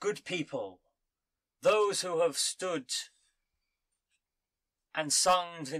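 Putting on a character voice, a man speaks high and resonant at a very slow pace with long, frequent pauses. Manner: proud, booming, declamatory.

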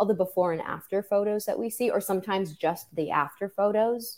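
The voice has a dark, mellow tone in an American accent. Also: woman. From New York City. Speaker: birth worker and podcaster. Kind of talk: interview.

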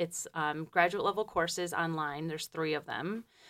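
A woman with a Michigan accent and ordinary pitch variation. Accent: Midwestern American (Michigan). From Detroit, Michigan. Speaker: forestry doctoral student and program lead. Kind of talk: interview. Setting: radio studio. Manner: hesitant, many ums.

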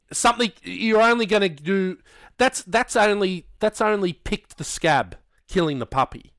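Speaking with an Australian accent, a man uses a high pitch with ordinary pitch variation at a moderate pace, on a very clean, silent-background recording with a dry, close sound and no echo. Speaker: podcast co-host. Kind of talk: casual chat.

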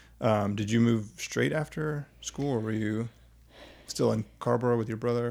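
In a normal speaking voice, a man talks at a moderate pace and medium pitch, showing ordinary pitch variation. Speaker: podcast host. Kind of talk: casual interview chat.

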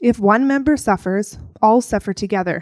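A woman with a normal speaking voice talks at a fairly high pitch with ordinary pitch variation, in a very clean recording with a silent background and a dry, close sound with no echo. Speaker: scripture reader. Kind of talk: reading aloud. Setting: church.

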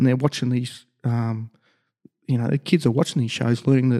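Speaking at a fairly quick pace with an Australian accent, a man has a medium pitch and a dark, mellow tone, recorded dry and close with no echo. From Australia, Logan, Queensland. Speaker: sports construction business owner, former rugby player. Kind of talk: casual interview. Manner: halting, many fillers.

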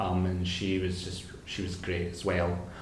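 A man's very slow speech with a Scottish accent over noticeable background noise. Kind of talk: casual chat. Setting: studio.

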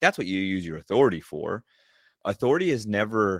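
A plain, everyday voice at a fairly quick pace, dry and close with no echo, in a very clean recording with a silent background. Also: man. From Southern California. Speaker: leadership coach and army veteran. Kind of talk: interview.

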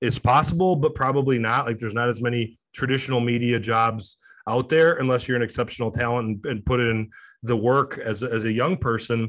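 A man's plain, everyday voice with an American accent, medium in pitch, at a fairly quick pace, with fairly even intonation over a quiet background. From Detroit, Michigan. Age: 30s. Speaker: sports journalist. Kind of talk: interview.

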